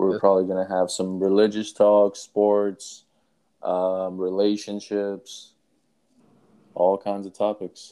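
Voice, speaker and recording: A man's fairly low, dark and mellow voice at a very slow pace, monotone and flat, with long, frequent pauses. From Louisville, Kentucky (born in Afghanistan). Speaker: podcast co-host. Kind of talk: casual chat.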